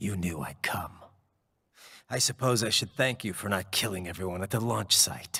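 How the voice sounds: A man's put-on character voice, low for a man, bright and sharp with a slightly husky edge and vocal fry, lively in intonation at a moderate pace, on a very clean recording with a silent background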